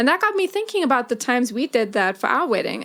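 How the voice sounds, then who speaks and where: A woman with a South African accent. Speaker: podcast host. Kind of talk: casual chat.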